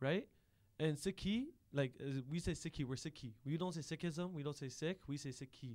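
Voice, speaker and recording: A man with a Canadian accent speaks at a moderate pace in a plain, everyday voice, his fairly high pitch rising and falling with ordinary variation. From Ontario, Canada. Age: 20s. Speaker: podcast producer. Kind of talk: casual chat. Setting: studio.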